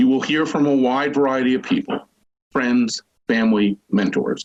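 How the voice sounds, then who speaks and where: At a moderate pace, a man with a medium-pitched voice swings his pitch very widely, recorded close and dry with no echo. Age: 60s. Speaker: school official and parent giving commencement speech. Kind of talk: commencement speech. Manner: formal.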